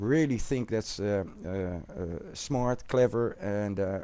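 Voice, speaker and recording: A man with a Dutch accent and a dark, mellow tone, at a fairly slow pace. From Netherlands. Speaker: gaming YouTuber. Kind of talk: live stream chat. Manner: halting, many fillers.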